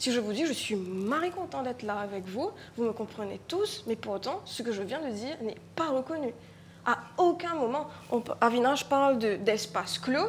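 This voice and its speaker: With a Mauritian accent, a woman speaks at a high pitch, her voice moving in very wide pitch swings. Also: moderate pace. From Mauritius. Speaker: writer and stage artist. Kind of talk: panel discussion. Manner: halting, with frequent repetitions.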